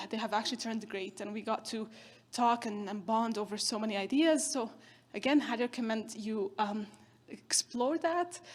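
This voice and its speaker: A woman's somewhat breathy, fairly high voice on a very clean recording with a silent background. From northern Syria, Kurdish. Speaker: keynote speaker, social entrepreneur. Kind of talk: keynote speech.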